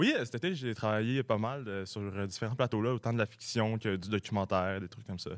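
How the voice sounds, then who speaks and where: A man talks fairly quickly in a fairly low pitch, with hardly any pauses and ordinary pitch variation. He has a normal speaking voice, on a very clean recording with a silent background. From Quebec, Sherbrooke. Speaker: comedy writer, recent graduate. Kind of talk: radio interview. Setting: radio studio.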